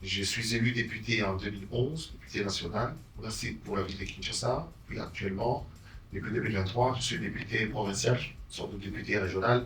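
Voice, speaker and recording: Over noticeable background noise and audible room echo, a man speaks in a fairly low pitch at a moderate pace with fairly even intonation. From DR Congo. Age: 60s. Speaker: politician and journalist. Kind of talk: interview self-introduction.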